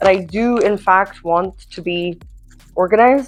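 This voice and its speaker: A woman speaks at a medium pitch with a non-native accent. Her pitch variation is ordinary. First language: not English. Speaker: lifestyle vlogger. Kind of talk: casual vlog talk. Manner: rambling, filler-heavy.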